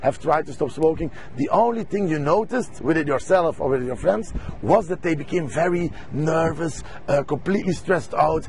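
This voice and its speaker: A man with a Belgian accent talks at a moderate pace, his fairly high pitch carrying lively intonation. Noticeable background noise is present. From Belgium. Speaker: stop smoking coach. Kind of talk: sales pitch. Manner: halting.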